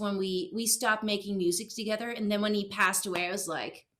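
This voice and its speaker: A woman's fairly high, bright and sharp voice with a Dutch accent. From Netherlands. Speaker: singer-songwriter. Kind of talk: casual interview. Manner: halting, many fillers.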